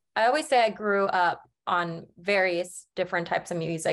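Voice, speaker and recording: With an American accent and an unremarkable speaking voice, a woman talks at moderate pace and medium pitch, her intonation fairly even against a quiet background. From US Midwest, Branson, Missouri. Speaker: singer-songwriter. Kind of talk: casual interview.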